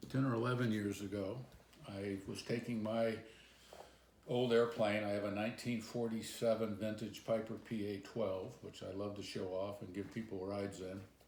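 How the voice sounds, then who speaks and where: A man talks with a fairly low pitch and fairly even intonation. Audible room echo surrounds his voice. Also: moderate pace. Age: 70s. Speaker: pilot. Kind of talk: interview storytelling.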